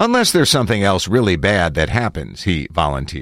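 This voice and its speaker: A man speaks with vocal fry and very wide pitch swings. The recording is very clean, with a silent background. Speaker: audiobook-style article narrator. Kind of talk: news reading of a written political article, read aloud. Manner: steady, even, formal newsreader delivery.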